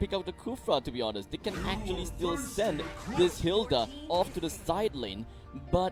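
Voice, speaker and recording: A man speaks with very wide pitch swings. Music plays in the background. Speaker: esports shoutcaster (play-by-play commentator). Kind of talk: esports match commentary.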